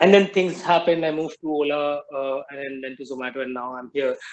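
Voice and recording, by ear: Speaking at a fairly quick pace, a man with a fairly high pitch shows little pitch movement.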